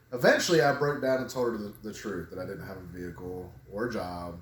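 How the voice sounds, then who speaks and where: Over noticeable background noise and audible room echo, a man with a fairly low pitch talks at a fairly quick pace, with lively intonation and big swings in loudness. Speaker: couples vlogger. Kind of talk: casual chat. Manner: laughs when telling serious things.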